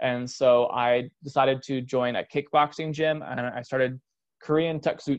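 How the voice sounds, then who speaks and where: A man with a Californian accent talks at a moderate pace and medium pitch with fairly even intonation, and the sound is dry and close with no echo. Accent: Californian American. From Southern California, San Diego. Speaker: podcast host, personal trainer and nutrition coach. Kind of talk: personal story monologue.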